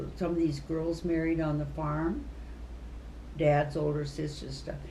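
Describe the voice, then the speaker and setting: With audible room echo, a woman speaks in an American accent at a fairly slow pace. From US Midwest. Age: 80s+. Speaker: retired teacher. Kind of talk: casual chat.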